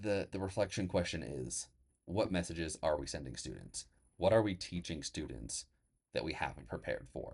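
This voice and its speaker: Very deep and low in pitch, a man's voice shows vocal fry and lively intonation. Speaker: teacher and podcast host. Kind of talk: casual solo podcast talk. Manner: halting, many restarts; loud at moments.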